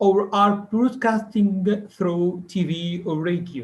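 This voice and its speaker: Here is a man with an Arabic accent. His pitch sits high. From Egypt. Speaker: English teacher. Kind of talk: conference presentation.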